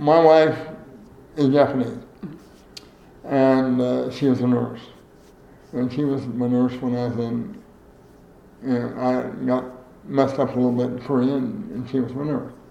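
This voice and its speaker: Noticeable background noise sits behind a man speaking fairly slowly at a medium pitch. His intonation is fairly even, and he leaves long, frequent pauses. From US Midwest. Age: 80s. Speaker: former state legislator, veteran, interviewee. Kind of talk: oral history interview. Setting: interview at his home.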